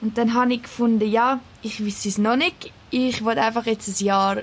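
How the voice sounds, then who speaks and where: Here is a woman with an ordinary speaking voice and a fairly high pitch. She keeps a moderate pace and fairly even intonation. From Switzerland, Küsnacht near Zurich. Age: 20s. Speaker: teaching assistant. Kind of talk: casual interview.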